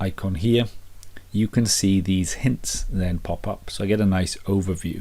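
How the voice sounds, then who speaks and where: The voice carries a British accent. Its tone is dark and mellow. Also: man. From Britain. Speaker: family history youtuber. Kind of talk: tutorial. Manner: casual.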